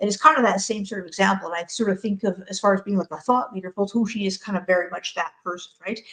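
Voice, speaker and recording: At a very fast pace, a woman speaks with medium pitch and ordinary pitch variation. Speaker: crypto project community representative. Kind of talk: casual chat. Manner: animated.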